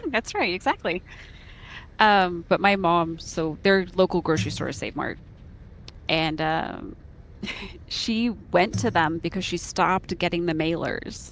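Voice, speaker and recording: A woman with an American accent talks at a fairly slow pace with long, frequent pauses. Her fairly low pitch varies in an ordinary way, with vocal fry. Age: 40s. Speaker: gamer streaming a guild raid. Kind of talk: casual chat.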